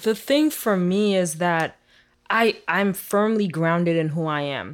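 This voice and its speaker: A woman at a very slow pace, on a very clean recording with a silent background. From Haiti. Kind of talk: casual interview.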